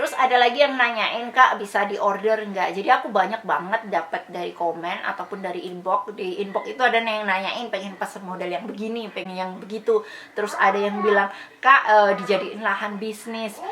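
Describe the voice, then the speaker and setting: Noticeable background noise sits behind a woman who talks at a fairly quick pace with hardly any pauses. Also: medium pitch for a woman, ordinary pitch variation. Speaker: sewing tutorial youtuber. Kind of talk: casual Q&A vlog talk.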